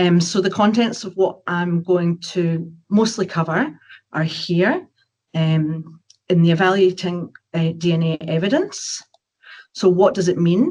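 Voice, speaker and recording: A woman's fairly low, somewhat breathy voice at a fairly slow pace with ordinary pitch variation. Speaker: forensic biologist. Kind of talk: webinar presentation. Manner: hesitant, many filler words.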